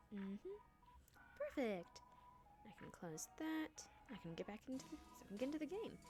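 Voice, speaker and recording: A woman talks quietly at a moderate pace, her high pitch swinging very widely, with long and frequent pauses and music playing in the background. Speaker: streamer. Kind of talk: live game stream with reading aloud. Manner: hesitant, many fillers.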